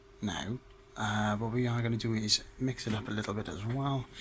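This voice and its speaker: Medium in pitch, a man speaks at a moderate pace with ordinary pitch variation. Noticeable background noise sits behind him. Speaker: theatre lighting technician. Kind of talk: tutorial talk to camera. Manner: casual.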